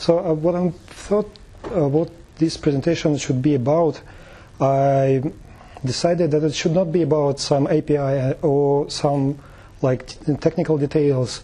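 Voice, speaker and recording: Somewhat breathy and dark, mellow in tone, the voice carries a non-native accent and fairly even intonation. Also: man, fairly high pitch for a man, fairly slow pace, very even loudness. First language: not English. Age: 30s. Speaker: tech meetup presenter. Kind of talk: presentation. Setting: meetup talk with audience. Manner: halting, many fillers.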